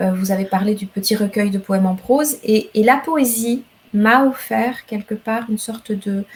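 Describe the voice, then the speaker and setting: A woman with a Rwandan accent speaks at a fairly slow pace, her somewhat breathy voice fairly high in pitch with ordinary pitch variation. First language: Kinyarwanda (speaking French). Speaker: novelist and poet. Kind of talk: literary interview.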